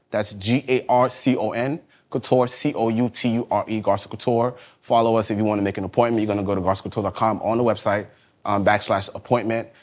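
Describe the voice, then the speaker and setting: A man with a New York accent, medium pitch, a very fast pace and fairly even intonation. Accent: New York (Bronx). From New York, South Bronx. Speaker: fashion designer. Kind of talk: casual interview chat.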